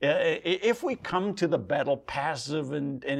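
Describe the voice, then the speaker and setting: A man is speaking. His pace is moderate. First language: not English. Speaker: pastor. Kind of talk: sermon.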